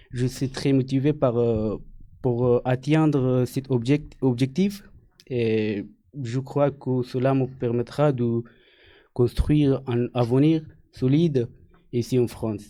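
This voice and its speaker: Over a quiet background, a man speaks very slowly at a medium pitch. His intonation stays fairly even, with long, frequent pauses. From Afghanistan. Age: 20s. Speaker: French language learner. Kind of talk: self-introduction. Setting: studio. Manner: halting, many hesitations.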